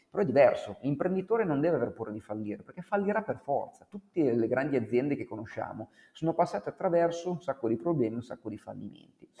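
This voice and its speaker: This man talks at a very fast pace with a dark, mellow tone at a fairly high pitch. His voice makes very wide pitch swings and big swings in loudness. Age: 40s. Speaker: author and former musician. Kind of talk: interview.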